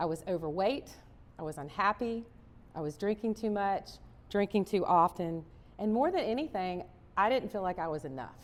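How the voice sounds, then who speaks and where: Using a Southern US accent, a woman at medium pitch speaks in an upbeat, animated tone with lively intonation, a moderate pace, and long, frequent pauses. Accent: Southern American. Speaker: chef, cookbook author and motivational speaker. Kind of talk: motivational keynote speech. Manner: upbeat, animated, storytelling.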